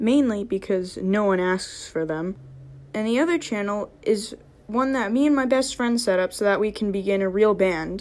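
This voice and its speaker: A woman's ordinary speaking voice, fairly high in pitch with ordinary pitch variation, at a moderate pace. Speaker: animator and voice actor. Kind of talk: casual channel trailer talk to camera.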